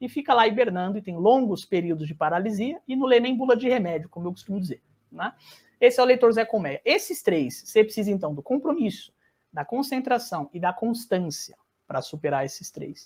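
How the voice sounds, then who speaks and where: The voice moves at a fairly quick pace. Both its pitch and its loudness swing very widely. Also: man, high pitch for a man. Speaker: literature teacher. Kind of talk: live online masterclass. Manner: fast; animated.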